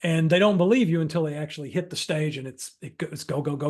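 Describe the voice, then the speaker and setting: At a fairly quick pace and with ordinary pitch variation, this is an ordinary speaking voice. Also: man. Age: 50s. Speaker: improv workshop instructor. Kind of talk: workshop Q&A. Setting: video call. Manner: conversational, with fillers and self-repetition.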